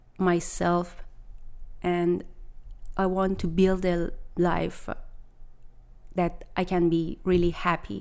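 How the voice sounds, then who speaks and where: A woman with a Persian accent speaks at a very slow pace. Her voice sits fairly low in pitch. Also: very clean recording, silent background. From Iran. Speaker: private chef. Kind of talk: interview. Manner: halting.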